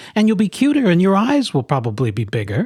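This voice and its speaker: A put-on character voice from a man, high-pitched, very fast, with very wide pitch swings. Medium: read story. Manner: doubtful, blunt.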